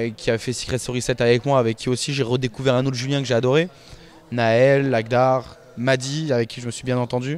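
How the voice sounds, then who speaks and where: A man talks at a fairly quick pace in a flat monotone. The recording is dry with no echo. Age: 20s. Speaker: reality TV contestant. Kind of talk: interview answers. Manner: hesitant, many fillers and repetitions. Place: office. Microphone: handheld.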